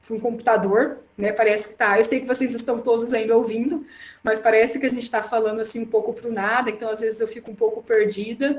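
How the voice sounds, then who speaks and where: A woman talks fairly quickly in a fairly high voice. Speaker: law professor. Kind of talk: online lecture. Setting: remote class via computer. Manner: fast.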